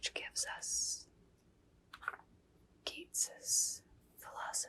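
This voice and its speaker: Someone whispers at a very slow pace. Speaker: ASMR creator reading poetry. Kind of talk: casual talk to camera, introducing the book. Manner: whispered, soft-spoken.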